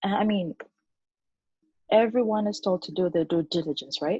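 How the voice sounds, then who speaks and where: A woman with a non-native accent, somewhat breathy, lively in intonation and moderate in pace. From Uganda. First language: not English. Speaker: online business entrepreneur. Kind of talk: interview.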